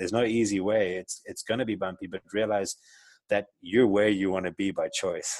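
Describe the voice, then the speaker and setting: A man's fairly low, flat, monotone voice with a South African accent at a moderate pace. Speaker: entrepreneur. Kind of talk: interview. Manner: hesitant, many fillers.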